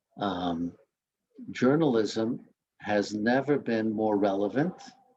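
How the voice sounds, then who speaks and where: Speaking very slowly, a man uses a fairly low pitch with ordinary variation. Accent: slight Queens. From Queens, New York. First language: Spanish. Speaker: newspaper editor. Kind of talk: talk to students. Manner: hesitant, with many fillers.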